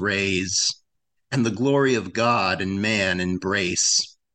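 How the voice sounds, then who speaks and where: A man with an American accent speaks with lively intonation against a quiet background. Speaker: poet, open-line participant. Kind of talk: casual chat. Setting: video call.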